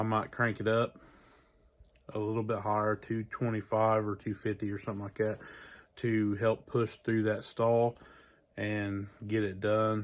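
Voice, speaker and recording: In a very clean recording with a silent background, a man with a fairly low, relaxed voice speaks in a flat monotone, leaving long, frequent pauses. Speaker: home cook / barbecue channel host. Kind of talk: casual cooking tutorial. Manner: casual, relaxed; quiet, hushed.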